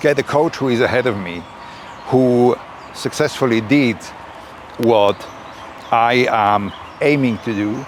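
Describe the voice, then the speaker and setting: Speaking in a Swiss German accent with ordinary pitch variation, the voice comes through noticeable background noise. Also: man. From Switzerland. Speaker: YouTuber, personal growth creator. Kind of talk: reflective talk to camera. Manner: slightly halting with fillers.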